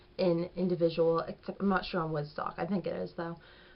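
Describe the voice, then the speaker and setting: A woman talks very fast in a fairly low pitch, her intonation monotone and flat. There is noticeable background noise behind her. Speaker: beauty vlogger. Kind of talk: product review. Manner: casual, chatty.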